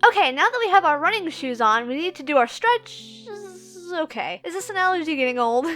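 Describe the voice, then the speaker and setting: With music in the background, a woman uses a raised, projected voice, high in pitch and full of very wide pitch swings. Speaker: amateur voice actor and YouTuber who makes comic dubs. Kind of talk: casual how-to talk to camera. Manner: casual, conversational, self-deprecating.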